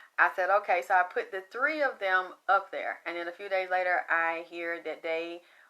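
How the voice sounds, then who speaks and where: A woman with a Southern accent sounds animated, her pitch fairly low. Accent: flat Southern. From US South. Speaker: psychic medium. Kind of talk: psychic reading monologue.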